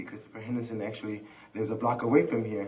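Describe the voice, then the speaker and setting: There is audible room echo as a man talks at a medium pitch. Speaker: community organizer. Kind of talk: panel discussion. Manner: halting.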